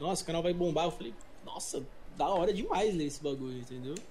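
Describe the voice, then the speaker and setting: A man is speaking in audible room echo. Noticeable background noise runs throughout. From Brazil, São Paulo. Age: 20s. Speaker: English teacher and youtuber. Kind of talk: casual chat. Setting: remote call.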